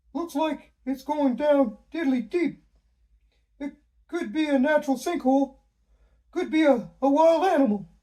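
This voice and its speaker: This is a put-on character voice pitched high. It moves at a moderate pace with long, frequent pauses. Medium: read story. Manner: quirky, says "diddly".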